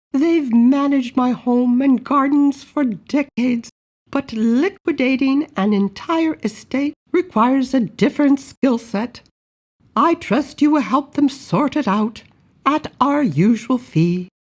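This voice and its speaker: In a put-on character voice, a female-sounding speaker talks slowly-ish at a fairly slow pace with a high pitch. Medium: read story. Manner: genteel, lightly playful.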